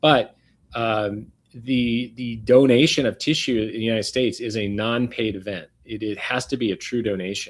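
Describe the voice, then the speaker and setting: An ordinary speaking voice, a man's at medium pitch, moves at a moderate pace with fairly even intonation in a very clean recording with a silent background. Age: 60s. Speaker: regenerative medicine doctor. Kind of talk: interview.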